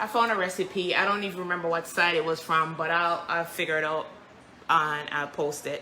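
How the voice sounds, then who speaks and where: A woman with a Jamaican accent speaks at a moderate pace, with audible echo in the room. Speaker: home baker and cook. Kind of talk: live cooking stream. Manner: casual, chatty.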